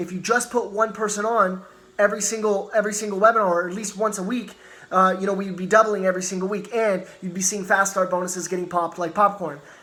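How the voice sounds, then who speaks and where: Raised and projected, a man's high-pitched voice rushes at a very fast pace. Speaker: network marketing team leader. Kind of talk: motivational training talk. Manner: animated.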